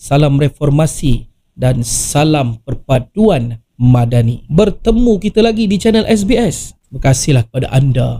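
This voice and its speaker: The voice is somewhat breathy with a dark, mellow tone, moving at a fairly slow pace with lively intonation. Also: man. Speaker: political activist and commentator. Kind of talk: political commentary.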